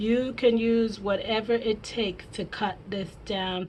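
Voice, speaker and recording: A somewhat breathy woman's voice with fairly even intonation at a fairly slow pace. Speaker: crafting YouTuber. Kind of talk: tutorial.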